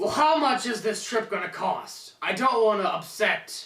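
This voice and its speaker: A man's put-on character voice, high in pitch, with ordinary pitch variation and a moderate pace. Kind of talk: amateur school-skit acting. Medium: comedy sketch.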